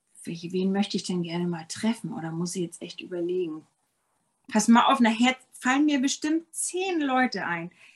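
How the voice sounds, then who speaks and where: A somewhat breathy woman at a medium pitch and moderate pace, her pitch swinging very widely. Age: 50s. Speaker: yoga teacher and ayurveda health consultant. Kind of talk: casual interview chat. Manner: hesitant, many fillers.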